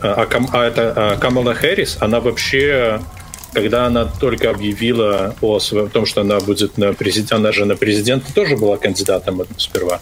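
A man speaks at a moderate pace and medium pitch, with fairly even intonation, very even loudness and noticeable background noise. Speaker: podcast co-host. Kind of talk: casual chat.

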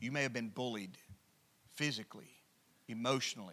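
With an Alabama accent, the voice has a bright, sharp tone in a very clean recording with a silent background. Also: man. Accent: Southern US (Alabama). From US South, rural Alabama. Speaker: pastor. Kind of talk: sermon. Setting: church. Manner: halting with many fillers.

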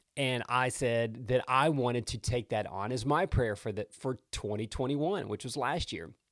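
Here a man speaks in an animated tone at a moderate pace, with medium pitch and ordinary pitch variation. The sound is dry and close with no echo, and there are hardly any pauses. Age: 40s. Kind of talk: devotional podcast monologue.

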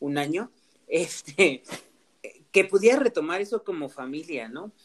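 With very wide pitch swings, a man speaks at a high pitch and a moderate pace. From Mexico, Oaxaca (Mixteca region). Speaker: podcast host. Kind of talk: casual chat.

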